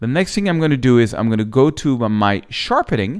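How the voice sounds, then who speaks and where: Speaking at a fairly quick pace with lively intonation, a man with a French accent and medium pitch is heard on a very clean recording with a silent background. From France. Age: 50s. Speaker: photographer and photography teacher. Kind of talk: tutorial. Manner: casual, slightly halting.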